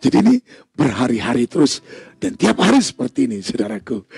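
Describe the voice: A man speaks with big pitch swings, a husky, rough edge and vocal fry. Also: medium pitch for a man, fairly quick pace, dry, close sound with no echo, slightly mellow tone.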